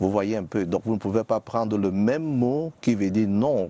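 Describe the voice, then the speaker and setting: A man speaks with a Cameroonian accent. His voice is fairly low, with a dark, mellow tone. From Cameroon, Littoral region (Bassa). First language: Bassa (speaking French). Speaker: biblical scholar, TV guest. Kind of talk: TV interview. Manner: hesitant, many fillers.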